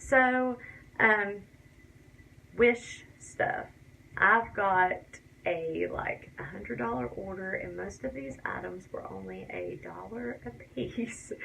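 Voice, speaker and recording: A woman with a strong Tennessee accent at a very slow pace, with long, frequent pauses, big swings in loudness and audible room echo. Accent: Tennessee Southern US accent, fairly strong. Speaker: beauty and crafts vlogger. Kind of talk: casual vlog tutorial talk. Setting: home bathroom.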